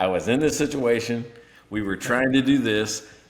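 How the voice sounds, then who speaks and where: Amid noticeable background noise, a man with an American accent talks at a medium pitch with ordinary pitch variation. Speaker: podcast co-host. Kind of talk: casual chat.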